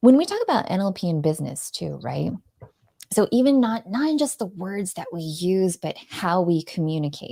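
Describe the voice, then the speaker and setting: Woman with a dark, mellow tone at medium pitch, swinging very widely up and down. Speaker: live video strategist. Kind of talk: interview on live show. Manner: fast; sweet tone.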